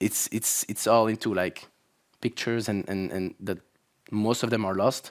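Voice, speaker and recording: In a Belgian accent, a man with a fairly low pitch talks at a moderate pace with fairly even intonation on a very clean recording with a silent background. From Belgium (Flanders). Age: 30s. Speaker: YouTuber. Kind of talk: conference talk. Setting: stage with audience.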